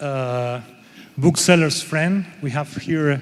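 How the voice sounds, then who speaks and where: A man speaks at a fairly slow pace with a Spanish accent. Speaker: panel moderator. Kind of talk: panel discussion. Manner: halting.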